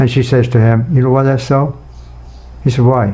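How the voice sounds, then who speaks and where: With audible room echo, a man talks in fairly even intonation. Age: 80s+. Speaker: nutrition scientist. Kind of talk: interview. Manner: halting.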